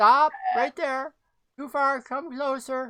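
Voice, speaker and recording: A woman in a put-on character voice speaks high for a woman at a fairly slow pace. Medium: actual play. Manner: suspicious, clipped.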